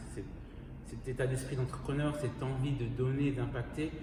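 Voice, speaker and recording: Speech moves at a fairly quick pace, with noticeable background noise and audible room echo. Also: man. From Switzerland, Bernese Jura (Moutier). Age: 20s. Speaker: entrepreneur. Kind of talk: interview. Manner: hesitant, many fillers.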